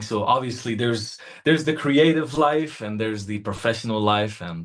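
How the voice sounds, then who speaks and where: A man with ordinary pitch variation and audible room echo. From Morocco, Marrakesh. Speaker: singer-songwriter. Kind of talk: interview.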